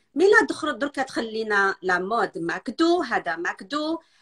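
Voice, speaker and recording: The pitch moves in very wide swings. The sound is dry and close, with no echo. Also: woman. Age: 50s. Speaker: nutrition specialist. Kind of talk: casual interview chat. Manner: halting.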